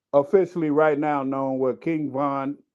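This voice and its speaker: At a very slow pace, a man with a fairly high pitch speaks with fairly even intonation. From Chicago, South Side. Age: 60s. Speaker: panelist. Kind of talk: casual discussion.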